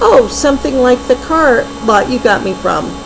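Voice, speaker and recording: Over loud music in the background, a woman performs in a put-on character voice. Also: moderate pace. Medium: read story. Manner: cheerful.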